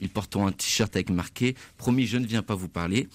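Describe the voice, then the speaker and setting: The man's pitch varies in an ordinary way on a very clean recording with a silent background. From France, Saint-Étienne. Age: 20s. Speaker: student charity volunteer. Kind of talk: radio interview.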